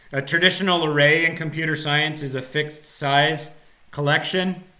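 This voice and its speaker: A man with a fairly high pitch speaks at a moderate pace in a monotone, flat intonation, with noticeable background noise and audible room echo. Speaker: college computer science instructor. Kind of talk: live-streamed lecture. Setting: live online broadcast. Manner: hesitant, many fillers. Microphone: echo at start of stream.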